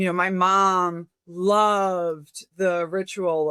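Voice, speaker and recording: A woman speaks at medium pitch in a bright, sharp tone. The sound is dry and close with no echo, on a very clean recording with a silent background. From Brazil. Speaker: cult researcher and former army intelligence officer. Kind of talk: podcast interview. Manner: conversational, many fillers.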